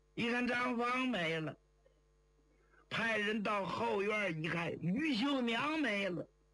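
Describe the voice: Speaking slowly with lively intonation, a man with a high pitch and a bright, sharp tone is heard with audible room echo.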